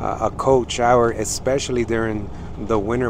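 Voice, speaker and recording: A man's monotone, flat voice over noticeable background noise, dry with no echo. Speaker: truck driver vlogger. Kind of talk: casual vlog chat. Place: car. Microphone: headset.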